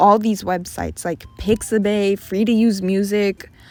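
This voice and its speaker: Noticeable background noise and a moderate pace. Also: woman. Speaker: art YouTuber. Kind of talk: casual voiceover while drawing. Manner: self-interrupting, occasional stutter and dropped consonants.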